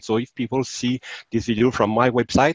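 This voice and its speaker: In a Quebec accent, a man speaks at a moderate pace in a dry sound with no echo and a quiet background. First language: French. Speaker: software developer; interviewee. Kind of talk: software demo. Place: home room. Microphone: video call.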